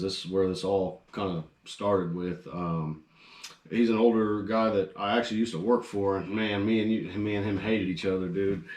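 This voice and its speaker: Noticeable background noise sits behind a man with an American accent who speaks at a moderate pace in a fairly low voice with ordinary pitch variation. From US Midwest, Danville, Illinois. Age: 20s. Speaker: rock band lead singer. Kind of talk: casual chat.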